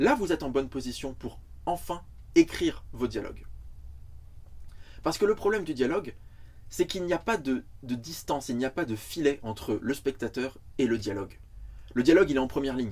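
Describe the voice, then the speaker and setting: A man with a medium pitch and lively intonation speaks at a fairly quick pace, with vocal fry and long, frequent pauses. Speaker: screenwriting teacher. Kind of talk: lecture. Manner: fast.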